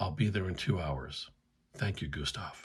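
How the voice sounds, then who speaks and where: A put-on character voice from a man, raspy and very deep in pitch, at a moderate pace. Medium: read story. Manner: terse, clipped.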